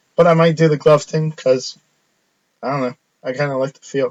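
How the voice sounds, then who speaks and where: A somewhat breathy man with a fairly high pitch, ordinary pitch variation and a moderate pace. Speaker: sports card break host. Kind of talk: live card break sign-off. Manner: casual, hesitant with fillers.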